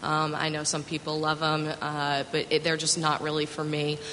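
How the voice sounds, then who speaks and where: A woman with a fairly low pitch speaks at a fairly quick pace amid noticeable background noise. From New York, Westchester County. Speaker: wine magazine tasting director. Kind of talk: panel discussion.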